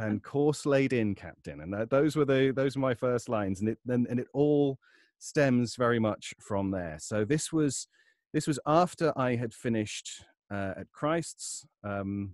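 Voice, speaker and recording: Here is a plain, everyday voice with lively intonation. The sound is dry and close, with no echo. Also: man, medium pitch for a man, fairly slow pace, quiet background. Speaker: voice actor and audiobook narrator. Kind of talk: interview answer, casual talk about his career.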